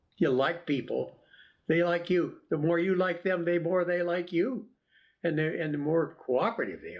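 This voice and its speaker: A man's voice sits high in pitch as he speaks at a moderate pace, using ordinary pitch variation. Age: 90s. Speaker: retired coast guard officer. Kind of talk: interview. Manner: halting.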